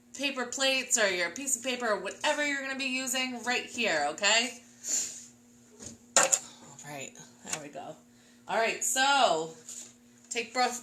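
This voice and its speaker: The speaker pauses often and at length. Noticeable background noise runs through the clip. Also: woman. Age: 20s. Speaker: art teacher. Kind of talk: tutorial. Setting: live stream. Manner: animated.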